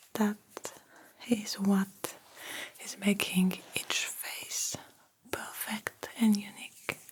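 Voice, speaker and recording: A whispering woman at a very slow pace, with long, frequent pauses, big swings in loudness and noticeable background noise. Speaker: ASMR creator. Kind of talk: ASMR personal attention role-play, face measuring exam. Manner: soft-spoken, whispered.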